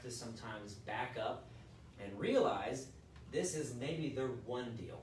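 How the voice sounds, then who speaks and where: A man speaks in an American accent. Audible room echo and noticeable background noise surround him. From Texas, Houston. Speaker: real estate team leader, instructor. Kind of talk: live class / training lecture. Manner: casual, conversational.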